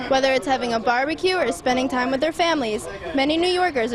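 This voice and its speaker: High-pitched and lively in intonation, a woman talks at a fairly quick pace amid noticeable background noise. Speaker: TV reporter and anchor. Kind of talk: local TV news report. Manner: professional, clear.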